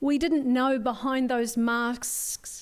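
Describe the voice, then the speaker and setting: A woman speaks with a slight New Zealand accent. Her pitch is high. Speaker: forum speaker, community wellbeing worker. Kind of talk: conference talk.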